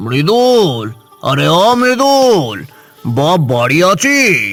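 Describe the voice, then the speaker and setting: A man speaks in a high, cartoonish character voice with very wide pitch swings. Faint music plays in the background. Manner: gruff, fatherly.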